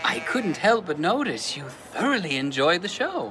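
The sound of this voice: High-pitched put-on character voice of a man, bright and sharp, at a moderate pace with big pitch swings and faint background noise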